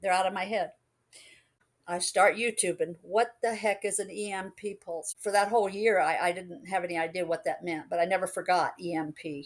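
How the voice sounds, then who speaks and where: A woman's ordinary speaking voice, medium in pitch with ordinary pitch variation and a moderate pace, on a very clean recording with a silent background. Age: 60s. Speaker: alien contact experiencer. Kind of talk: interview testimony.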